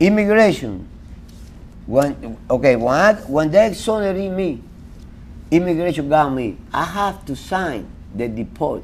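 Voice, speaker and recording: A man's fairly high voice with a Cuban accent, very wide pitch swings, a fairly slow pace and long, frequent pauses. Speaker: exoneree. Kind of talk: interview. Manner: halting.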